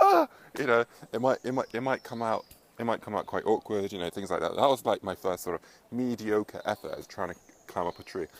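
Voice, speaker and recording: A man at a fairly quick pace, in a dry, close sound with no echo. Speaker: self-help vlogger. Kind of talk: casual vlog monologue. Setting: outdoors, up in a tree. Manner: fast.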